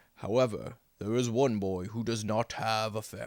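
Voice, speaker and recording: A man puts on a character voice at a moderate pace and medium pitch. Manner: solemn, wise.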